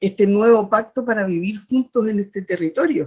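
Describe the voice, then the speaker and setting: Speaking at a moderate pace, a woman uses a medium pitch with ordinary variation. Her voice comes across somewhat breathy. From Chile, Chiloé (Ancud). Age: 60s. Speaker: poet and teacher, constitutional candidate. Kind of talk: interview. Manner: halting, many fillers and repetitions.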